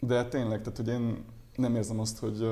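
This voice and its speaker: Audible room echo surrounds a man speaking at a fairly quick pace and medium pitch in a dark, mellow tone. His voice is somewhat breathy, with monotone, flat intonation. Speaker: doctor. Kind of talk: interview. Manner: fast; halting.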